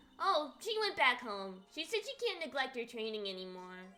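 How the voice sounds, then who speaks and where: This put-on character voice has a bubbly tone and very wide pitch swings. The pace is moderate. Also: woman, high pitch for a woman. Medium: game stream. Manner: bubbly, chatty.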